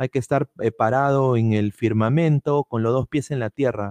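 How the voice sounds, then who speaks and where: An ordinary speaking voice, a man at medium pitch talks at a moderate pace with ordinary pitch variation, the sound dry and close with no echo over a quiet background. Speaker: football podcast host. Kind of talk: live-streamed casual football talk. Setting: live stream.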